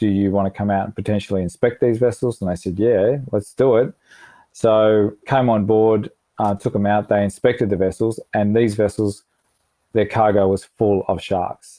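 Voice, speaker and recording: With an Australian accent, a man speaks at a moderate pace in a fairly low, dark, mellow voice with monotone, flat intonation and a dry, close sound with no echo. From Melbourne, Australia. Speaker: environmental charity director. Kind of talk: interview. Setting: remote call.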